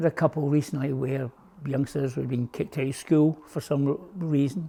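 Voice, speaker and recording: A man speaks with a dark, mellow tone at a medium pitch. His fairly quick delivery is somewhat breathy. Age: 70s. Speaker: boatbuilding and woodworking instructor. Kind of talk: interview monologue.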